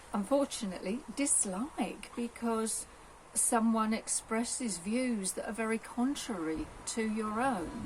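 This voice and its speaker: A voice at a fairly slow pace with ordinary pitch variation, heard over noticeable background noise. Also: woman, fairly high pitch for a woman. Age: 60s. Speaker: retired police officer. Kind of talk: interview.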